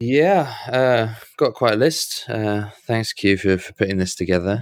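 A man with an ordinary speaking voice at a fairly slow pace, ordinary pitch variation, and a dry, close sound with no echo. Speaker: podcast co-host. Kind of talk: casual chat. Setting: home recording with USB mic.

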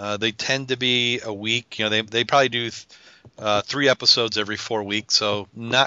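This is plain reading aloud. Nothing else stands out beyond that plain reading.

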